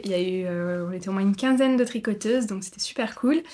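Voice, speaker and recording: Woman's voice, very clean recording, background silent. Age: 30s. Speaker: knitting podcaster. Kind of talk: casual vlog chat. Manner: hesitant, many fillers.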